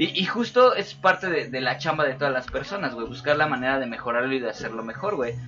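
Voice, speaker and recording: A very fast-talking man with fairly high pitch and lively intonation, amid noticeable background noise. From Mexico City. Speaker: podcast host. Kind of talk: casual chat.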